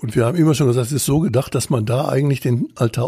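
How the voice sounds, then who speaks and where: A man speaks very fast at a medium pitch, his dark, mellow tone somewhat breathy and his intonation lively. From Bavaria. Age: 70s. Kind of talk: podcast interview.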